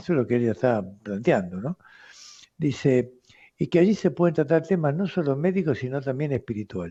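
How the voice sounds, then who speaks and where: A man speaks at a fairly quick pace in a fairly high pitch, his tone dark and mellow. His pitch swings very widely against a quiet background. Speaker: radio host, doctor. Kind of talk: radio talk answering listener letters. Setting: radio studio.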